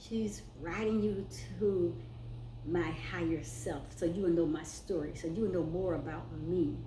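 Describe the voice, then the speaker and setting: Amid audible room echo, a woman speaks at a fairly slow pace. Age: 60s. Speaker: spiritual vlogger. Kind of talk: personal testimony vlog. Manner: casual, conversational.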